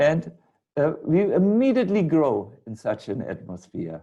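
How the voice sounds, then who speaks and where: With a German accent, a man speaks at a fairly slow pace in a dark, mellow tone. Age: 60s. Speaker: spiritual teacher. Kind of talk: lecture. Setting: video call.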